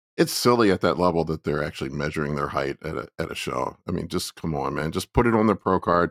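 A man talks very fast in a very deep, low voice. The sound is dry and close, with no echo. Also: ordinary pitch variation, very clean recording, silent background. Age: 40s. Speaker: bodybuilder. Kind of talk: casual chat. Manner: repeats words, stammering starts.

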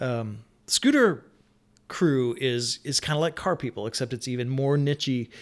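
A man with an ordinary speaking voice, medium in pitch and with ordinary pitch variation, is heard on a very clean recording with a silent background. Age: 40s. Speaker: game studio streamer and video game employee. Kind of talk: casual chat.

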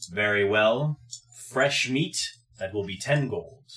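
This man uses a put-on character voice at a medium pitch. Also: fairly slow pace. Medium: actual play. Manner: formal, stilted phrasing.

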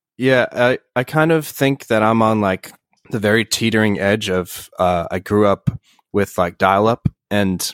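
A man with a normal speaking voice and a fairly low pitch talks at a moderate pace with fairly even intonation, in a very clean recording with a silent background and a dry, close sound with no echo. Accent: American. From New York, Bronx/Yonkers then Hudson Valley (Poughkeepsie). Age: 20s. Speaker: rock band musician. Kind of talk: casual interview.

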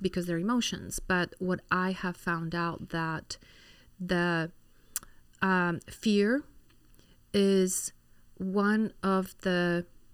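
Very slowly and with monotone, flat intonation, a woman speaks at a medium pitch with a slight Polish accent. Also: long, frequent pauses. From Poland, Warsaw. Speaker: physician. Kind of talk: interview.

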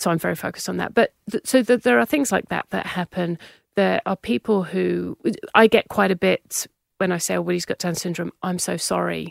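A slight British accent at a fairly quick pace, in a dry, close sound with no echo. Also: woman. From UK. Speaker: parent of child with Down syndrome. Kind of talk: interview conversation.

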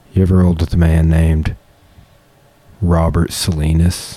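The voice has a dark, mellow tone, an American accent and fairly even intonation. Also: man. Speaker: podcast host and jiu-jitsu practitioner. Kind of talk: casual chat.

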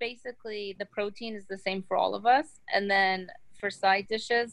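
In an ordinary speaking voice, a woman talks at a moderate pace. Her pitch is medium and her intonation fairly even. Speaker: business founder. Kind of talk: interview.

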